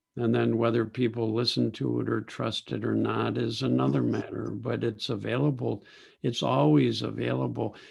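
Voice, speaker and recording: A man with an American accent speaks at a moderate pace with a very deep, low pitch and vocal fry. His pitch swings very widely. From United States. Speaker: psychologist. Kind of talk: Q&A answer.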